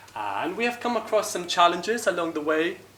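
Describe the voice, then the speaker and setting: Very wide pitch swings from a male speaker, plus audible room echo and noticeable background noise. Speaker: software engineer, conference speaker. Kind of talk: tech talk at a meetup.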